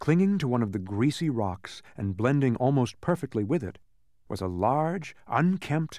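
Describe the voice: Plain reading aloud.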